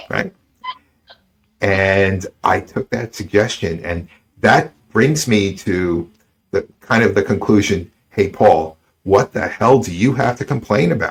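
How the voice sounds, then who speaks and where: Speaking very slowly with long, frequent pauses, a man with an American accent uses a fairly low pitch, ordinary pitch variation and a somewhat breathy sound. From United States. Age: 60s. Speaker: podcast host. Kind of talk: interview conversation. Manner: halting, many fillers and repeats.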